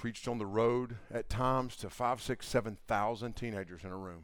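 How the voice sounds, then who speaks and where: Speaking fairly slowly in an ordinary speaking voice, a man with a medium pitch shows ordinary pitch variation on a very clean recording with a silent background. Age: 50s. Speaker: camp speaker, preacher. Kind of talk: sermon. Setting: camp gathering with audience. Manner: casual, conversational with fillers.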